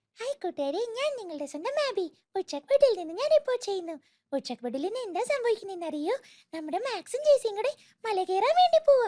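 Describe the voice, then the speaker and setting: A put-on character voice at an extremely high pitch, very wide pitch swings and a fairly quick pace. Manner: lively, cute.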